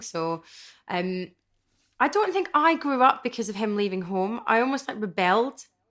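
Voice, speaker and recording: Recorded very cleanly with a silent background, a woman with a Glasgow accent speaks with lively intonation. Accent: Scottish (Glasgow). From Scotland, Stirling and Glasgow. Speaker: panel guest. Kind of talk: casual chat.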